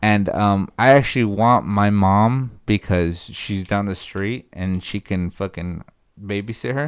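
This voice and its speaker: A Spanish accent at a fairly slow pace with ordinary pitch variation, on a very clean recording with a silent background. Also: man, fairly low pitch for a man. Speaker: podcast co-host. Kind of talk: casual chat. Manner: animated.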